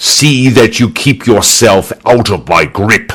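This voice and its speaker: In a growling, put-on character voice at medium pitch, a man speaks at a fairly slow pace. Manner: snarling, menacing.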